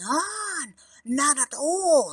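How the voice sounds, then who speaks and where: This put-on character voice leaps through very wide pitch swings. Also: woman. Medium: read story.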